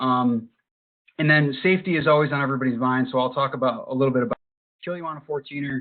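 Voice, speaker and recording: A man with an American accent talks at a very fast pace and a medium pitch. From Western New York (Buffalo). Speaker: hiking instructor and meetup group founder. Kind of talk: webinar presentation. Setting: online webinar with screen sharing.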